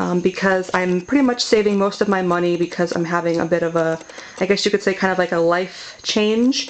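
A woman talks at a fairly quick pace. Her intonation stays fairly even over light background noise. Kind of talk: casual vlog chat. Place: home room.

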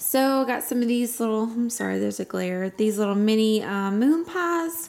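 A woman speaks with lively intonation at a moderate pace as light noise runs in the background. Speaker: home vlogger. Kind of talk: casual vlog chat. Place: home room. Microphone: phone near.

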